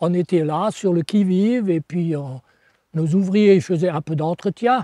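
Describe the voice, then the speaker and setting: A man's high-pitched, dark, mellow voice at a fairly slow pace, with ordinary pitch variation and a quiet background. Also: dry, close sound with no echo. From France, Moselle (Lorraine). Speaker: retired coal miner. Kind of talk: oral history interview. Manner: halting, with frequent hesitations.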